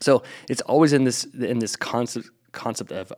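Here is a man with an ordinary speaking voice at a medium pitch. He keeps a moderate pace. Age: 40s. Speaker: podcast host and personal trainer. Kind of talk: casual chat.

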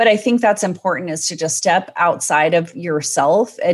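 A woman speaks in an ordinary speaking voice, pitched fairly low. Her pace is fairly quick against a quiet background. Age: 40s. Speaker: anxiety coach. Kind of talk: casual chat.

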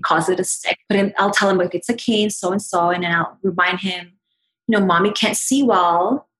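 A woman's medium-pitched voice at a moderate pace, fairly even in intonation, a normal speaking voice. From Canada, Toronto. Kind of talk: casual chat. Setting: video call.

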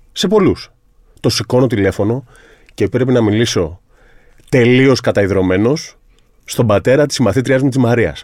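Lively, varied intonation from a man, medium in pitch, delivered rather slowly. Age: 30s. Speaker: sports psychologist. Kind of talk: casual interview chat.

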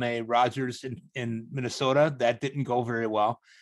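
A man talks in a plain, everyday voice with fairly even intonation. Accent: American. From US Midwest, south side of Chicago. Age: 40s. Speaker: fantasy baseball writer. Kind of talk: casual chat.

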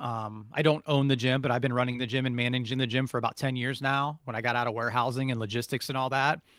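On a very clean recording with a silent background, a man with an American accent speaks fairly quickly at a medium pitch in a plain, everyday voice. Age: 40s. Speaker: martial arts instructor. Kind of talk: interview.

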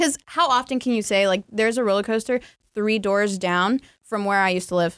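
On a very clean recording with a silent background, a woman with an American accent uses a plain, everyday voice, talking at a fairly quick pace with a medium pitch, ordinary pitch variation and very even loudness. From North Carolina. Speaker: storytelling podcast guest. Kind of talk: casual storytelling chat.

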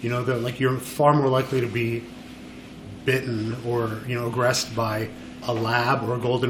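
Noticeable background noise and audible room echo surround a monotone, flat intonation delivered at a fairly quick pace. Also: man. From Montreal, Quebec. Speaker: photographer. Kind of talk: interview. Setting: studio.

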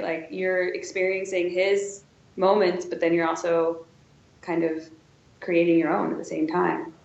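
A woman at a medium pitch and fairly slow pace, with audible room echo and noticeable background noise. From Wisconsin, US Midwest. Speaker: museum curator. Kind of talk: interview.

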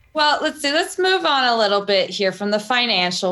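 This woman has a bright, sharp tone and lively intonation. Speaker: podcast guest host. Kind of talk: interview. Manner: warm, encouraging.

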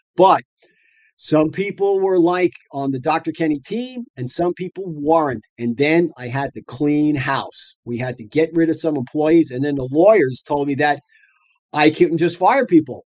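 Speaking at a fairly slow pace in a New York accent, a man with a fairly high pitch and ordinary pitch variation makes big swings in loudness, recorded with a dry, close sound and no echo. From Long Island, New York. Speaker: dentist and practice owner. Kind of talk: interview storytelling. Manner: animated.

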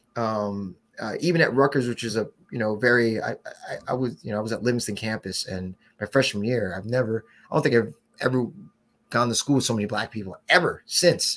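Medium-pitched man with a New Jersey accent, at a fairly quick pace with ordinary pitch variation. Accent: New Jersey American. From New Jersey (West Orange), Haitian parents. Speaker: brewery co-founder. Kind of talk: casual interview. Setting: live podcast recording.

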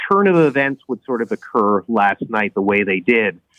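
A man talks at a fairly quick pace with a Canadian accent. His is a plain, everyday voice at medium pitch. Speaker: political columnist. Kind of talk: interview.

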